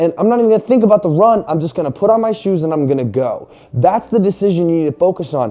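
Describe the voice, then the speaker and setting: Very fast and high-pitched, a man's voice carries lively intonation. His tone is animated. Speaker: fitness and faith motivational vlogger. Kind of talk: motivational talk to camera. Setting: garage, filming to camera. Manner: animated, casual; loud, yelling.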